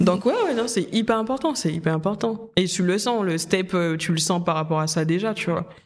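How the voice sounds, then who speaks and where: Noticeable background noise accompanies speech at a middling speed. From Guadeloupe. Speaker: makeup artist. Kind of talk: casual interview chat.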